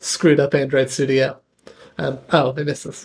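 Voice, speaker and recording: A man's fairly high voice in a monotone, flat intonation. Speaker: software developer streamer. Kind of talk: live coding stream. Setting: live stream.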